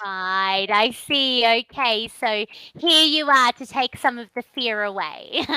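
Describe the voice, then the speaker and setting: A woman's fairly high, bright, sharp voice with an Australian accent, very slow, ordinary pitch variation, big swings in loudness, and dry, close sound with no echo. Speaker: online English tutor. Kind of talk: online English lesson conversation.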